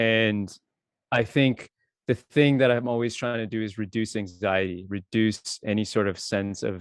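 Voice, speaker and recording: This is a man with an unremarkable speaking voice. His pitch is fairly low and his intonation fairly even. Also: moderate pace. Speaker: DJ and software engineer. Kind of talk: casual chat.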